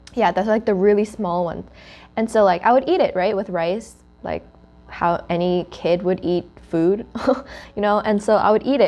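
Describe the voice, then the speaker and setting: A woman with a Korean accent speaks at a moderate pace in a medium pitch, her dark, mellow tone moving with ordinary pitch variation and broken by long, frequent pauses. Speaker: student club host. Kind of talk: casual chat. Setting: sitting around eating food.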